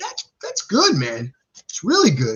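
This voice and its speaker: A man speaks with a New Jersey accent. His pace is moderate. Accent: New Jersey, self-described as sounding bad. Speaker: stock market youtuber. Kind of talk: live stream stock talk. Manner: halting, many repeated words and fillers; casual, animated.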